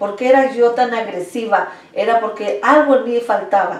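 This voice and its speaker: In a Mexico City accent, a woman with a fairly high pitch speaks at a fairly slow pace with ordinary pitch variation, over noticeable background noise and audible room echo. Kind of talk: testimony. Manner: halting.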